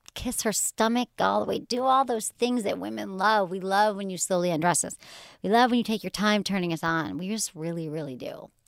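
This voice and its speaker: In a very clean recording with a silent background, a woman with an American accent and a normal speaking voice talks at a fairly quick pace, her medium pitch carried by lively intonation. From Michigan, US. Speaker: sex and relationships podcast host. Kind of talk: casual chat.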